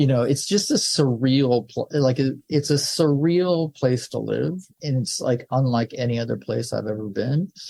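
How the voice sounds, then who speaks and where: A man in an American accent, medium-pitched with a dark, mellow tone, somewhat breathy, moderate pace, ordinary pitch variation and hardly any pauses. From Southern California. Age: 60s. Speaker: film director. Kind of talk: interview. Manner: casual, halting with many fillers.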